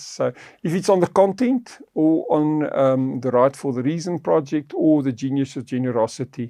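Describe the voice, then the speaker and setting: In a South African accent, a man with a fairly high pitch and a dark, mellow tone talks at a moderate pace with ordinary pitch variation, the sound dry and close with no echo over a quiet background. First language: Afrikaans. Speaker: podcast host on faith and finance. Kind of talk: podcast conversation.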